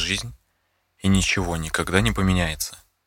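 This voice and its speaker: A man with a very deep, low pitch speaks in a bright, sharp, serious and dramatic tone with vocal fry. He keeps a moderate pace and ordinary pitch variation on a very clean recording with a silent background. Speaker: true-crime narrator. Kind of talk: true-crime scripted narration of a case. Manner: measured, suspenseful, storytelling tone; serious, even, dramatic pacing.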